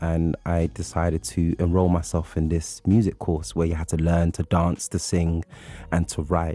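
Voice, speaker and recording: At a moderate pace, a man with a London accent talks in a very deep, low voice with ordinary pitch variation. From London, England (born in Nigeria). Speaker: poet and writer. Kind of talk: radio interview. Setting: radio studio.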